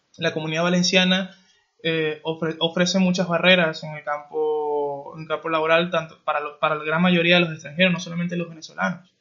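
Monotone and flat in intonation, a man with high pitch talks at a fairly quick pace with big swings in loudness. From Venezuela. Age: 20s. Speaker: podcast host. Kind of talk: interview. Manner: halting, many fillers.

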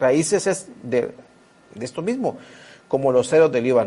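A man speaks in an animated tone. Noticeable background noise is present. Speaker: preacher. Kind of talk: sermon. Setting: church. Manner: animated, earnest, exhorting with repetition.

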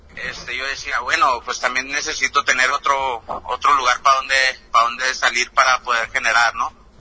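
Monotone, flat intonation at a moderate pace, with hardly any pauses and noticeable background noise. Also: man, medium pitch for a man. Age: 20s. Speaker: rapper. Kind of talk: casual interview.

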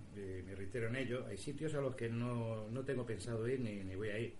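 A man's fairly quick, fairly even-toned speech amid noticeable background noise and audible room echo. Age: 40s. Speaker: radio host and paranormal investigator. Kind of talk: interview answers. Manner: halting, repeats words.

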